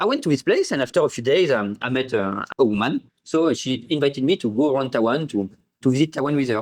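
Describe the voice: Big pitch swings mark a man's fast speech at medium pitch.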